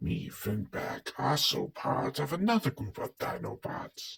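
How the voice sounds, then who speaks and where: Very slowly, a man puts on a raspy character voice at a fairly high pitch. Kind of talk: fan-made character voice skit.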